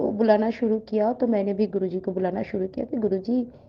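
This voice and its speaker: This woman has a Bengali accent and a fairly high pitch. Her pitch variation is ordinary. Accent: Bengali-accented Hindi. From West Bengal, India (Kolkata). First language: Bengali (speaking Hindi). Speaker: devotee sharing a testimony. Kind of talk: testimony. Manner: halting, with fillers.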